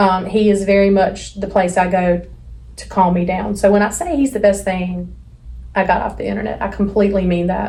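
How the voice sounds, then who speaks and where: With an American accent, a woman at a medium pitch speaks at a moderate pace and with fairly even intonation, amid audible room echo. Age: 40s. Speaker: podcast co-host. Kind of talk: casual chat. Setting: office studio.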